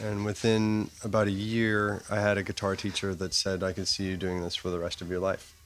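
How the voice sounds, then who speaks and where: Monotone and flat in intonation, a man speaks at a fairly low pitch. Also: fairly quick pace. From Toronto, Canada. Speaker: bassist in a band. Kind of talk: interview. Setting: restaurant.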